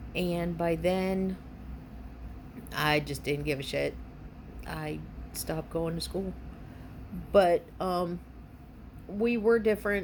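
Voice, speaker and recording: A woman speaks at a very slow pace. Her speech is marked by long, frequent pauses. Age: 50s. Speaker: Gen X grandmother. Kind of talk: casual talk to camera.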